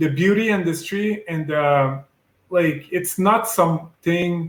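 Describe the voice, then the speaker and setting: A man talks at a very slow pace with a French-Canadian accent. His pitch is high and varies an ordinary amount. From Quebec. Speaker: medical device sales rep. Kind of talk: interview. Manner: hesitant, many fillers.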